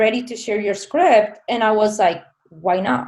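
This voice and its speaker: This woman speaks with a Spanish accent. Her pace is fairly slow. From southern Spain. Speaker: filmmaker. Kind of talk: interview.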